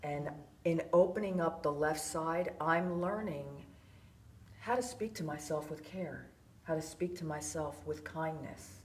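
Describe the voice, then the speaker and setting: A woman with an American accent speaks with a very deep, low pitch and ordinary pitch variation. Audible room echo surrounds her voice. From US East Coast. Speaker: workshop participant. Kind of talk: personal reflection.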